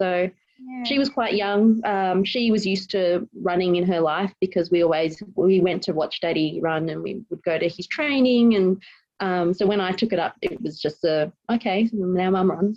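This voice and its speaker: A woman with an Australian accent speaks at a moderate pace, her medium pitch moving with ordinary variation. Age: 30s. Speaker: police officer. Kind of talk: interview.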